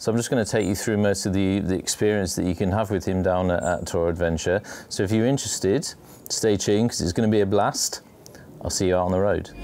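A man's fairly low voice at a very fast pace and very even loudness, with music in the background. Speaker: motorcycle vlogger. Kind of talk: casual vlog chat. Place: garden. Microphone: camera far.

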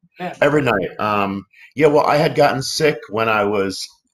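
With an American accent, a man talks using lively intonation. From Philadelphia. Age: 50s. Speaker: actor; interview guest, actor. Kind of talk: interview. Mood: reflective, open. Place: home room.

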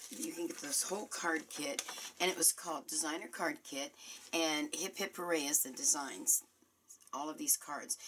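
A woman's fairly low voice with very wide pitch swings, at a moderate pace, over noticeable background noise. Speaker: crafting demonstrator. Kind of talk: tutorial. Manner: casual, chatty.

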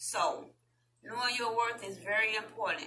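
A woman speaks at a fairly high pitch with a bright, sharp tone, and room echo can be heard. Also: ordinary pitch variation, moderate pace.

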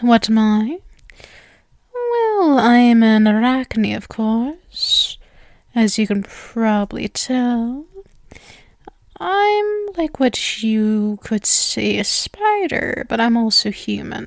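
A woman puts on a character voice at a fairly high pitch. She speaks at a very slow pace with long, frequent pauses. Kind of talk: ASMR roleplay, soft close-mic. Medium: audio drama. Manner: sweet, possessive, teasing, quietly menacing.

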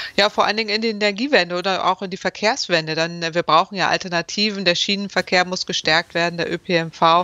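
A woman at a fairly quick pace with hardly any pauses, in a dry sound without echo. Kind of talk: interview answer. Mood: critical, matter-of-fact. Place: home room. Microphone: video call.

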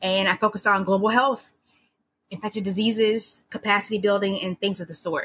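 A woman with an American accent and an unremarkable speaking voice, medium in pitch, fairly even in intonation and fairly quick in pace. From US, Maryland. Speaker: public health professional and scientist. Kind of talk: interview.

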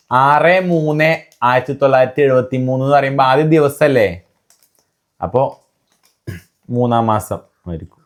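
This man speaks at a mid-range pitch that moves in an ordinary way. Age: 20s. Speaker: family vlogger. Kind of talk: casual chat. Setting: at home.

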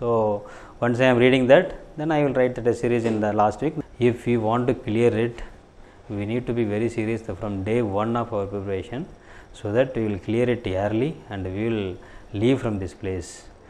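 A man with a Tamil accent speaks at a moderate pace with ordinary pitch variation. Light background noise sits behind him. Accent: Tamil-accented Indian English. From Tamil Nadu, India (Thanjavur district village). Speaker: civil services exam topper. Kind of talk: interview testimony. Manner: halting. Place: office. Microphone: lapel.

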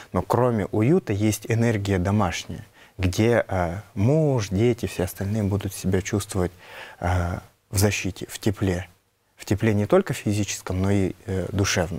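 A man speaks with a Nenets accent at a fairly low pitch and a dark, mellow tone. His pace is fairly slow and his intonation fairly even. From Yamal tundra, northern Russia; Russia. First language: Nenets (speaking Russian). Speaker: Nenets epic performer and culture keeper; guest. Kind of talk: studio interview. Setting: TV studio. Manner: hesitant, many fillers. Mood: calm, thoughtful. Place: studio.

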